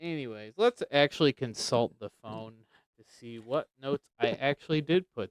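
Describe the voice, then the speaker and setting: A man speaks softly at a medium pitch, his loudness rising and falling sharply. His pitch varies in an ordinary way, and the sound is dry and close with no echo. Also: moderate pace. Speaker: podcast co-host. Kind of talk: casual chat about Bible topics. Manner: soft-spoken.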